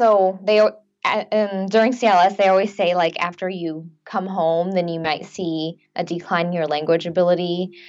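This is a woman with a normal speaking voice at a medium pitch. She talks at a moderate pace with fairly even intonation. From US, Chinese-American family. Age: 20s. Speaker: nurse, language program alumna. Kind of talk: interview.

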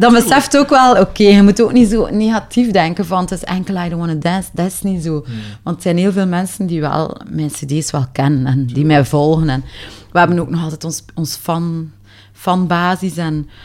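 A woman at a fairly low pitch, moderate pace, lively intonation. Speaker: singer. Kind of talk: interview.

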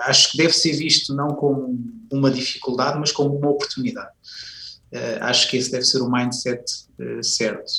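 Flat, monotone delivery at a fairly quick pace, broken by long, frequent pauses, over noticeable background noise. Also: man, fairly high pitch for a man. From Portugal, Viseu. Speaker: university professor and education manager. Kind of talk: radio interview.

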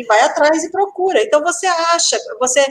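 A woman is speaking. Her pace is moderate. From rural Brazil. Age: 50s. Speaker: pattern-making teacher. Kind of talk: live podcast interview.

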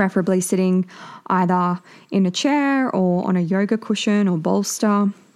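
Calm and soothing in tone, a woman speaks at a medium pitch with ordinary pitch variation. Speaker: meditation guide and podcast host. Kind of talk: guided meditation. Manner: slow, soft, calm and soothing; gentle, unhurried, with long pauses.

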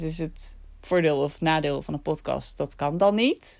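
The recording is very clean with a silent background, carrying a woman's fairly low voice. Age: 30s. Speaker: vlogger and podcaster. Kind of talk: casual monologue.

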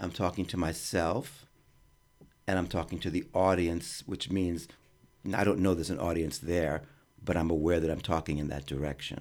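The speaker keeps a moderate pace and fairly even intonation, with long, frequent pauses. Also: man, very deep, low pitch for a man. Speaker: experimental theater artist. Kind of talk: interview. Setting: radio studio.

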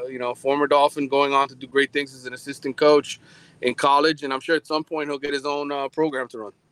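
A man's fairly high pitch at a very fast pace, monotone and flat in intonation, with big swings in loudness and a dry, close sound with no echo. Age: 40s. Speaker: sports journalist covering college football. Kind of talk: casual chat.

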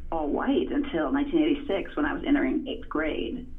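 A woman speaks at a moderate pace in a high voice, her pitch swinging very widely, with audible echo from the room. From Virginia, US South (Farmville). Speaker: author and journalist. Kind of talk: interview. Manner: hesitant with many fillers.

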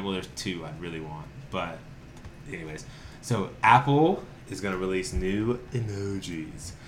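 Audible room echo surrounds a man with a very deep, low pitch and an American accent. He moves at a moderate pace with ordinary pitch variation. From North Carolina, Winston-Salem. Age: 30s. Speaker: podcast co-host, TV producer. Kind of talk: casual chat.

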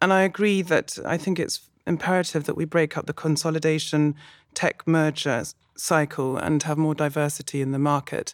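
In a London accent, a woman with a very deep, low pitch speaks at a moderate pace with fairly even intonation, the sound dry and close with no echo in a very clean recording with a silent background. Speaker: music label manager. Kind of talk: podcast panel discussion.

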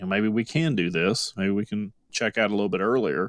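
This man has an unremarkable speaking voice, fairly low in pitch, at a moderate pace. The sound is dry and close with no echo, on a very clean recording with a silent background. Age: 60s. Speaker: financial advisor. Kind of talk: radio talk show discussion.

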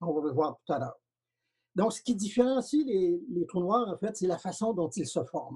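A man talks at a moderate pace in a high pitch, his tone dark and mellow. His pitch swings very widely. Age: 70s. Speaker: retired physics professor. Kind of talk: interview. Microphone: quieter than the interviewer.

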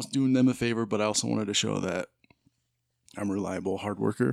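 An unremarkable speaking voice from a man with an American accent, fairly low in pitch, with ordinary pitch variation and a dry, close sound with no echo. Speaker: guest, host's brother. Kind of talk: casual chat.

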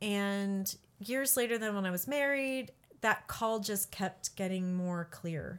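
Speaking at a very slow pace, a woman with an American accent uses a medium pitch and ordinary pitch variation. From US Midwest (Peoria, Illinois). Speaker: pastor and college professor. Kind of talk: casual interview.

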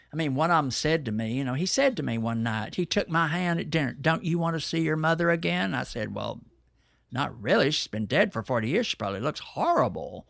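A man with an American accent, fairly high in pitch with very wide pitch swings, on a very clean recording with a silent background. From Texas, Dallas. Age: 70s. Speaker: poet and performer. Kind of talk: interview conversation.

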